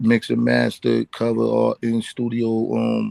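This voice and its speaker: A man talks with a Bronx accent. The sound is dry and close, with no echo. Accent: New York, Bronx. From Bronx, New York. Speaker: rap artist. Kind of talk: casual interview.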